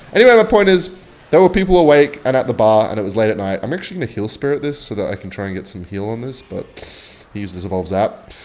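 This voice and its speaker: Speaking at a very fast pace with an Australian accent, a man at a medium pitch shows very wide pitch swings and big swings in loudness. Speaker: gaming youtuber. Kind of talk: casual gameplay commentary with storytelling. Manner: rambling, animated.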